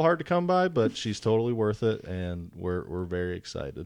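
A man's medium-pitched voice with an American accent and very wide pitch swings. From Wisconsin. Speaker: land trust development associate. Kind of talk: casual chat. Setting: studio.

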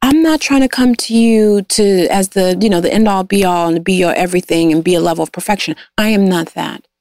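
A woman with a normal speaking voice talks with hardly any pauses, very even loudness and ordinary pitch variation. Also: medium pitch for a woman, fairly quick pace. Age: 40s. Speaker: guest sharing life story. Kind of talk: casual interview.

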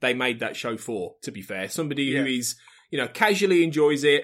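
Vocal fry runs through a very fast delivery with an English Midlands accent. The recording is very clean, with a silent background. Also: man. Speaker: podcast network head. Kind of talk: casual chat.

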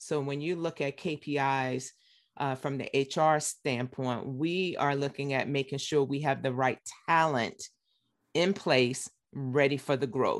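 Speaking at a fairly slow pace, a woman with an American accent has a very deep, low pitch and fairly even intonation. The recording is very clean, with a silent background. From US South, Richmond, Virginia. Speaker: human resources executive. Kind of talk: interview.

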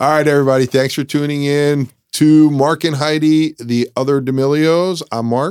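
A man speaks at a moderate pace with fairly even intonation and a fairly high pitch, in an unremarkable speaking voice. The sound is dry and close, with no echo. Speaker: podcast co-host. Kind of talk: casual banter between co-hosts. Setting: studio.

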